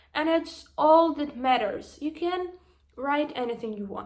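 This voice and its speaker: A woman speaks in a Ukrainian accent with ordinary pitch variation. The room echo is audible. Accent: Ukrainian accent, noticeable. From Ukraine. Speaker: vlogger and social media marketer. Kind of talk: motivational vlog monologue. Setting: standing, filming herself after a workout. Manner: emotional, hesitant with fillers.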